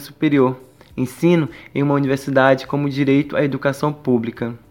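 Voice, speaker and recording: Over a silent background in a very clean recording, a man speaks at a moderate pace and fairly high pitch with monotone, flat intonation. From Brazil, Pará (Castanhal). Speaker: university student, student union member. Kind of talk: radio interview.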